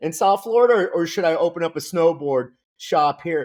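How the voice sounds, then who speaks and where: The speaker is a man with an animated tone. Lively intonation runs through his words. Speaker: business coach and entrepreneur. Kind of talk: podcast interview.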